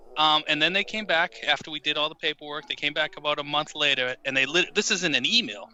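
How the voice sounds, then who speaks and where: Over noticeable background noise, a man with an American accent talks at a very fast pace in a fairly high pitch. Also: ordinary pitch variation. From United States. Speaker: author. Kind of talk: casual chat. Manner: halting, repeats words.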